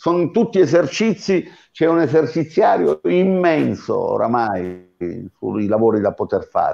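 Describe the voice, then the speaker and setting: Behind the man, things stay quiet. He speaks fairly slowly. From Abruzzo, Italy. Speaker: sports scientist and fitness coach; fitness coach. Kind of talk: webinar lecture. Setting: online video webinar. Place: home room. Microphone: earbuds.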